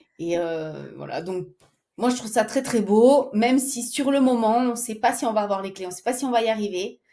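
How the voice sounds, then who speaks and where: Delivered at a moderate pace, the speech shows big swings in loudness and ordinary pitch variation. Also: woman, fairly high pitch for a woman. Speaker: singer and stay-at-home mother. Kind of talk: interview.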